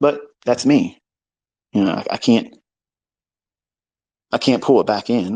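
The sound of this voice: A man speaks slowly at a medium pitch, with ordinary pitch variation. His tone is dark and mellow with a slightly husky edge.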